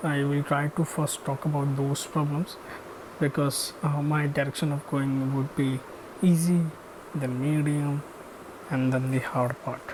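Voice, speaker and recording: A man speaks at a fairly slow pace in a fairly high pitch with flat, monotone intonation over noticeable background noise. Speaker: machine learning engineer, educational YouTuber. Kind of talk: channel intro monologue. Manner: slow, hesitant with many fillers.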